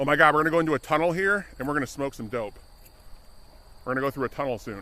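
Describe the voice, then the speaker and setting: Speaking at a very fast pace, the man's voice sits fairly high in pitch. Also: ordinary pitch variation. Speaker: IRL streamer. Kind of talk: casual live-stream chat while walking.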